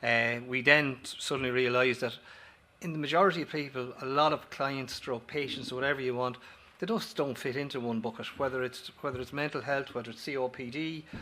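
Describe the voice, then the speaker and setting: A man's bright, sharp tone at a fairly quick pace, with fairly even intonation. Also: medium pitch for a man. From Ireland. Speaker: company director, former paramedic. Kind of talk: conference presentation. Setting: auditorium with audience. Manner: fast; halting, with false starts and repetitions.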